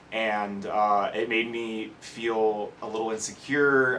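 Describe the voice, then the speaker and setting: A man with an American accent and monotone, flat intonation, heard with noticeable background noise and audible room echo. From California, Bay Area. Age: 20s. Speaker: hair transplant patient. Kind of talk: testimony. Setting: stage with audience. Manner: halting, many fillers.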